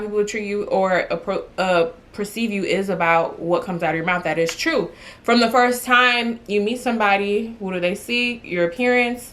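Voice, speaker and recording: Animated in tone, a woman speaks at a fairly high pitch and moderate pace with ordinary pitch variation. Noticeable background noise is present. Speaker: lifestyle vlogger. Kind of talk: casual talk to camera.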